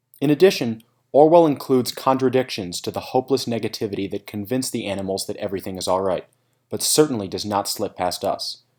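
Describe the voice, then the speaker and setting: On a very clean recording with a silent background, a man talks at a very fast pace, medium in pitch, with lively intonation. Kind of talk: scripted narration.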